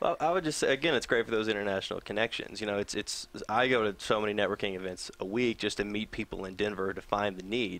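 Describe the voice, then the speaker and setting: A man with a slight Southern US accent speaks at a very fast pace in a fairly low voice. The recording is very clean, with a silent background. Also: ordinary pitch variation. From US South. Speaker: nonprofit program assistant. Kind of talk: interview.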